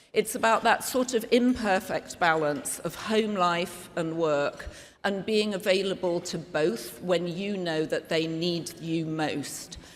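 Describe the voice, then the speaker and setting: Her British accent carries a fairly low pitch and lively intonation. The woman speaks at a fairly slow pace. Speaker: media executive and event emcee. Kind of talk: gala speech. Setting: gala lunch with audience. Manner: conversational, humorous.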